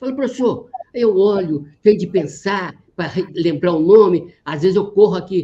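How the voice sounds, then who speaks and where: With a dark, mellow tone, a man speaks at a high pitch. He keeps a moderate pace and ordinary pitch variation. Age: 80s+. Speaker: retired genetics professor. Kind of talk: interview. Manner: halting.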